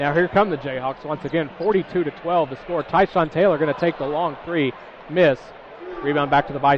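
Noticeable background noise accompanies a voice moving at a fairly quick pace with fairly even intonation. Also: man, fairly high pitch for a man. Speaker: play-by-play announcer. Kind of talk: live sports commentary. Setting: radio broadcast of a college basketball game. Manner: fast, rapid-fire play-by-play calling.

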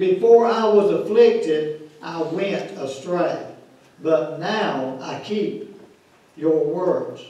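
Very slow and heard in strong room echo, a man's fairly high voice carries a dark, mellow tone and ordinary pitch variation.

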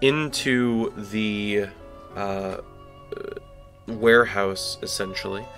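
Music plays in the background as a man with a medium-pitched voice speaks with fairly even intonation and long, frequent pauses. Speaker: video game let's play commentator. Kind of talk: casual gameplay commentary.

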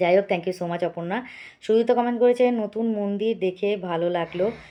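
A soft-spoken woman talks at a medium pitch with ordinary pitch variation. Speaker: vlogger. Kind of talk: casual vlog narration.

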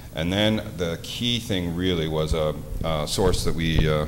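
Over noticeable background noise, a man with a very deep, low pitch speaks at a fairly slow pace. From Nova Scotia, Truro; Nova Scotia. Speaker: investigative journalist. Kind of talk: panel discussion. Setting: stage with audience. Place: hall. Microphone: handheld.

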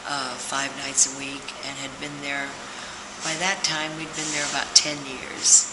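A woman talks at a moderate pace while noticeable background noise plays behind her. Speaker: interviewee. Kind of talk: interview answer. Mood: warm, reminiscing, laughing. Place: hall. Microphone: camera far.

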